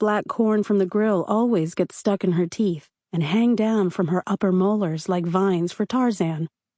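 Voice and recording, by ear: Against a quiet background, someone reads aloud in a natural voice, the pitch varying an ordinary amount.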